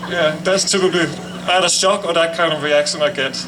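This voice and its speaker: A man's high voice with a European accent, flat and monotone at a fairly quick pace, amid audible room echo and noticeable background noise. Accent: foreign, European. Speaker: cancer survivor speaker. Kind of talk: ceremony speech. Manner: halting.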